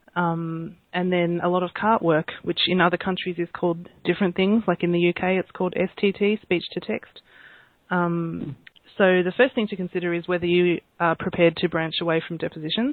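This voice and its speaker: Speaking with an Australian accent, a woman keeps a fairly low pitch, a fairly quick pace and fairly even intonation. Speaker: court reporter. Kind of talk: interview.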